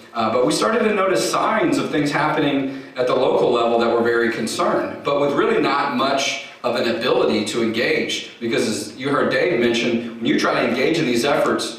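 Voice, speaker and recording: A man speaks with an American accent. Strong room echo surrounds his voice. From Texas (Houston). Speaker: advocacy group president and attorney. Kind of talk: keynote speech. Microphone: podium.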